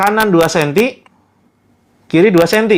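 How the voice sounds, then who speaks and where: His tone is animated, with a high pitch for a man, and he speaks at a fairly slow pace. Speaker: ruqyah therapist. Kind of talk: live-streamed religious therapy session. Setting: live stream.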